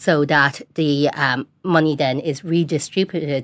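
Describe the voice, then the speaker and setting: Recorded very cleanly with a silent background, a woman with a Dublin accent speaks at a very deep, low pitch with fairly even intonation. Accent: Dublin Irish. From Dublin, Ireland. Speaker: local politician. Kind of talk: studio panel discussion. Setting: studio.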